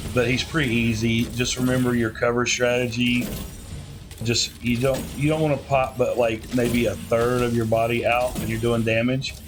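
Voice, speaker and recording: With a Southern US accent and in a flat monotone, a man speaks at a moderate pace and medium pitch, with music in the background and audible room echo. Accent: Southern US, slurred. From US South. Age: old. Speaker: gaming youtuber. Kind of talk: gameplay commentary. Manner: mumbling; casual, halting.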